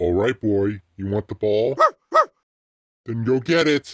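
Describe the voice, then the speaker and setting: A man puts on a character voice. It is fairly low in pitch and delivered at a fairly slow pace. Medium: dub. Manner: playful, casual.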